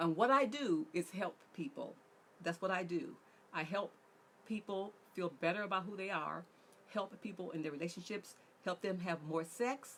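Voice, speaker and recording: A woman at a medium pitch talks with lively intonation at a moderate pace. Long, frequent pauses break up her speech. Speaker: relationship coach. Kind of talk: online workshop talk.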